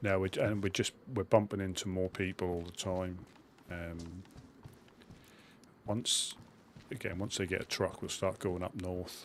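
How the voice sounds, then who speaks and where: A man's very deep, low voice with a Suffolk accent, monotone and flat, at a fairly slow pace with long, frequent pauses, on a very clean recording with a silent background. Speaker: gaming streamer. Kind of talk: live gameplay commentary. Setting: live stream. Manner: casual, chatty.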